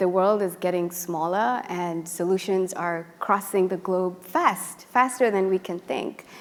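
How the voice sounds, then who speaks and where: The pace of this woman's speech is very slow. Her pitch is medium and her intonation fairly even. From Uganda, Kampala. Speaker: PhD student. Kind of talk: panel discussion.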